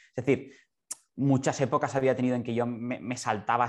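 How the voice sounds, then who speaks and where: At a moderate pace, a man talks at a medium pitch in a monotone, flat intonation. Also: quiet background. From Barcelona, Spain. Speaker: concert pianist. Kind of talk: interview.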